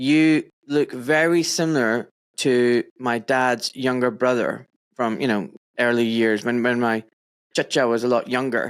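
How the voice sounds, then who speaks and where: This voice carries a Scottish accent. The recording is very clean with a silent background. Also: man. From Scotland, Pakistani-Kashmiri heritage. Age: 40s. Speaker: podcast host, doctor. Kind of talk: casual interview chat.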